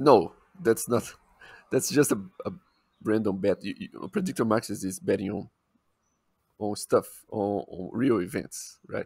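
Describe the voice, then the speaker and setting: In a strong Brazilian accent, the speaker goes at a fairly slow pace with lively intonation, long and frequent pauses and big swings in loudness, on a very clean recording with a silent background and a dry, close sound with no echo. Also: man, fairly low pitch for a man. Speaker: podcast co-host. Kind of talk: casual chat.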